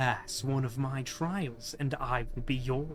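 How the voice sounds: Putting on a character voice, a man speaks at a medium pitch and a fairly slow pace over clear background noise.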